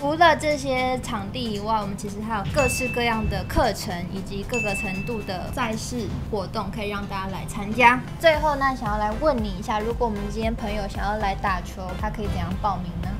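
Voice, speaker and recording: Clear music plays in the background as a woman speaks. She talks at a fairly quick pace with hardly any pauses. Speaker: channel host. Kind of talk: casual video outro and summary. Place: home room. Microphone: lapel.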